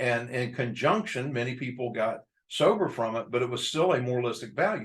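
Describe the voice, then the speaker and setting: The speaker has an American accent, sounds somewhat breathy and talks at a moderate pace. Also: man. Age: 60s. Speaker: addiction treatment professional. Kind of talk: lecture. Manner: hesitant with fillers.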